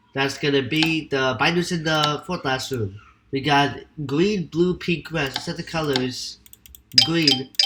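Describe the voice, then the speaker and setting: A man speaks in a fairly high voice for a man, with ordinary pitch variation. Music plays in the background. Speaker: gaming video creator. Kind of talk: game walkthrough commentary. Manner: hesitant, with fillers.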